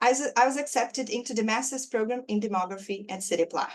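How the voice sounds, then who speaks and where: Speech at a fairly quick pace, with a Brazilian Portuguese accent. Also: woman. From Brazil, Belo Horizonte. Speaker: demography professor, award recipient. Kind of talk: prepared speech read aloud. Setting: webinar.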